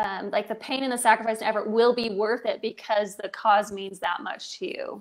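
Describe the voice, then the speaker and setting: A woman with an American accent talks at a moderate pace with hardly any pauses, her pitch fairly high and ordinary in variation. The background is quiet. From Pittsburgh, Pennsylvania. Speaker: purpose coach. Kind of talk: casual chat. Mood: thoughtful, earnest. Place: home room. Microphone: earbuds.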